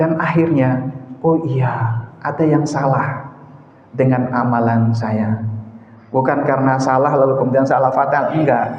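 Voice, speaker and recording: A man speaks at a fairly slow pace and medium pitch, with very even loudness and fairly even intonation. There is audible room echo and noticeable background noise. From eastern Indonesia. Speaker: mosque preacher. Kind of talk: sermon. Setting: mosque.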